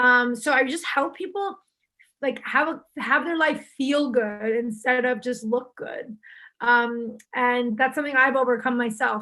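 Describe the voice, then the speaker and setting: This woman talks at a fairly slow pace in a high, bright, sharp voice with ordinary pitch variation. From Istanbul, Turkey. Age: 20s. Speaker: self-image coach. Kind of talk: casual interview chat. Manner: casual with many fillers.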